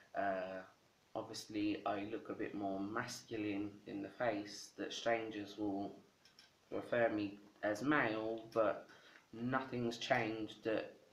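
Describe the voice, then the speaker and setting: At a very slow pace, a man with a fairly low pitch talks in a monotone, flat intonation amid audible room echo. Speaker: video blogger. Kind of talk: casual vlog answering tag questions. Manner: casual, halting with filler words.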